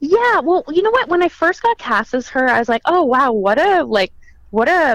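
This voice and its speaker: A woman's voice with vocal fry and very wide pitch swings, at a moderate pace. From Quebec, Canada (south of Montreal). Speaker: actress. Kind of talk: interview.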